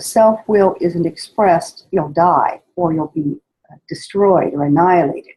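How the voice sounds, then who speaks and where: A woman speaks at a medium pitch and a fairly slow pace, with lively intonation. Her voice is somewhat breathy, with a dark, mellow tone. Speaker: spiritual study guide teacher. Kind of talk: spoken lecture introduction. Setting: poor sound quality recording.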